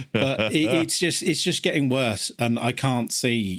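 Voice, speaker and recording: Speaking with an English accent at a moderate pace, a man shows ordinary pitch variation on a very clean recording with a silent background. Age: 40s. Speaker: podcast co-host. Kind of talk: casual chat.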